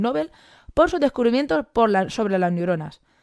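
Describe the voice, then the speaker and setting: In a dry, close sound with no echo, a woman speaks very fast at a medium pitch with lively intonation. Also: very clean recording, silent background. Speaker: biology teacher and science communicator. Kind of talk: conference talk.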